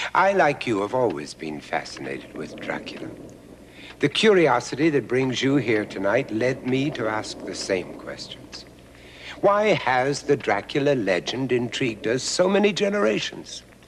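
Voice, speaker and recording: This man speaks at a moderate pace in a medium pitch, his voice swinging very widely up and down. Noticeable background noise runs behind him. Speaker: documentary narrator and host. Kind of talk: theatrical documentary narration as a spooky host. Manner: dramatic, ominous.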